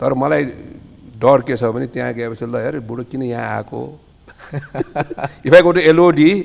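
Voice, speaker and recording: Speaking at a moderate pace with medium pitch and ordinary pitch variation, a man leaves long, frequent pauses and makes big swings in loudness over noticeable background noise. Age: 60s. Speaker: hotel businessman. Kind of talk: casual chat. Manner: animated.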